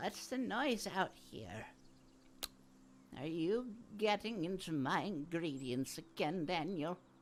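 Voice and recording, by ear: A put-on character voice comes through at middle pitch and a fairly slow pace. There are long, frequent pauses, and clear background noise is present.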